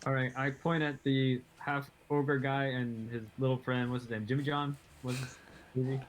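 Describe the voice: Speaking at a moderate pace, a man keeps little pitch movement. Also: medium pitch for a man.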